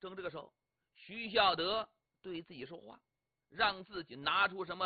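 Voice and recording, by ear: Someone is reading aloud in a natural voice, with ordinary pitch variation, against a quiet background.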